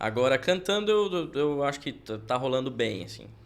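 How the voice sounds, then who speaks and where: Here a man is speaking. His pitch moves in very wide swings. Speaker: church musician. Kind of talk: casual chat.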